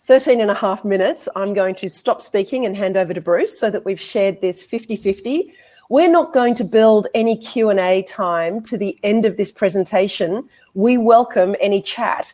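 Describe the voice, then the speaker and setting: Speaking at a moderate pace, a woman uses a fairly high pitch with ordinary pitch variation. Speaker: law lecturer and barrister. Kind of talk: conference presentation.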